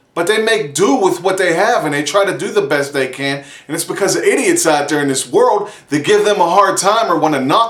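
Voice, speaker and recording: A man with a high pitch sounds animated, with lively intonation. Noticeable background noise and audible room echo fill the recording. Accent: American. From Pittsburgh, US. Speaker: vlogger. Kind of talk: casual vlog monologue.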